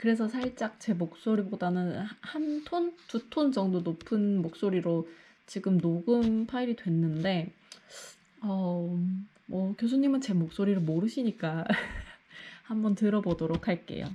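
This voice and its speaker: Somewhat breathy and dark, mellow in tone, a woman speaks at a very slow pace with lively intonation. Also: medium pitch for a woman. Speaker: graduate student vlogger. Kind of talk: vlog narration.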